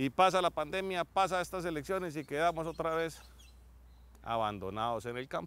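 Heard dry with no echo, a man talks at a moderate pace and fairly high pitch with lively intonation. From Colombia. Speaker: TV agriculture show host. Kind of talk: TV presenting, opinion commentary. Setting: outdoors on a cattle farm. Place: farm machine. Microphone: lapel.

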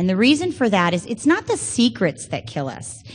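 With an American accent, a woman speaks at a fairly quick pace with vocal fry and very wide pitch swings. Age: 30s. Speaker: Al-Anon speaker. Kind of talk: recovery testimony. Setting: stage with audience.

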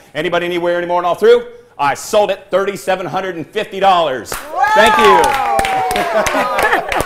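Loud background noise runs under speech at a moderate pace. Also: man. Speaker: professional auctioneer. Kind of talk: live auction bid calling for charity. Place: studio. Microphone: lapel.

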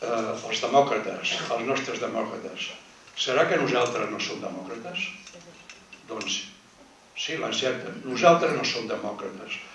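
Against light background noise and audible room echo, a man speaks at a very slow pace with long, frequent pauses. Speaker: panel speaker at a commemorative talk. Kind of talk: public talk to an audience. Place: hall.

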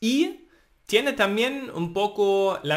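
A man with a German accent at a very slow pace, over a quiet background. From Germany, Thuringia. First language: German (speaking Spanish). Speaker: language teacher. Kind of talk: tutorial. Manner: halting.

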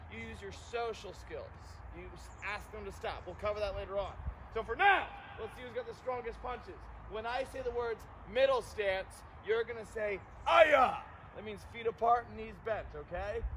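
Over noticeable background noise, a man speaks at a moderate pace with long, frequent pauses. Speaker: martial arts instructor. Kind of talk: class instruction to children. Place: open country.

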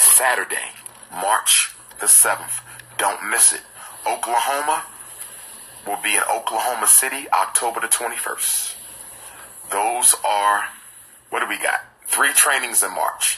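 A man speaks at a fairly slow pace, leaving long, frequent pauses. Light background noise is present. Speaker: educator addressing supporters. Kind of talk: casual vlog chat with announcements. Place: home room. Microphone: phone near.

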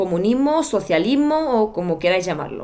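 This woman's speech has lively intonation. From Bulgaria, Sofia. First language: Bulgarian (speaking Spanish). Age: 30s. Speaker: YouTuber. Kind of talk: personal storytelling vlog. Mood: reflective, personal storytelling. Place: home room.

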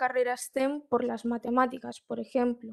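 Speaking at a fairly slow pace, a woman uses a high pitch with a Galician accent. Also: quiet background. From Galicia, Spain (Marín); Galicia, Spain. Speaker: student, program participant. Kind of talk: panel interview. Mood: calm, encouraging advice. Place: home room. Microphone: video call.

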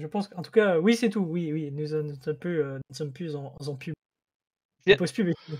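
A man's fairly high voice at a moderate pace, with ordinary pitch variation and big swings in loudness, dry and close with no echo, a normal speaking voice. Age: 30s. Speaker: content creator. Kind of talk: casual chat.

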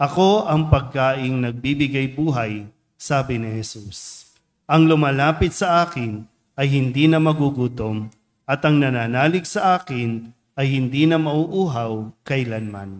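This man's voice sits fairly high in pitch, with ordinary pitch variation and a fairly slow pace. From Philippines. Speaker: priest. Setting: church. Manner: conversational and teacherly, asking rhetorical questions; earnest, warm, unhurried pastoral tone. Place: church. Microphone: podium.

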